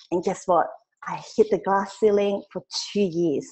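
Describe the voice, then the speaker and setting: Speaking with a Cantonese accent, a woman talks at a fairly quick pace in a medium pitch. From Hong Kong. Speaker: direct sales trainer. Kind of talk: webinar training. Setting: online webinar. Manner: fast; animated.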